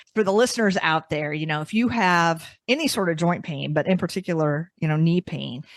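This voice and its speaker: Against a quiet background, a woman with a normal speaking voice and a fairly low pitch talks at a fairly quick pace, with ordinary pitch variation and hardly any pauses. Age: 60s. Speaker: podcast co-host. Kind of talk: casual interview chat.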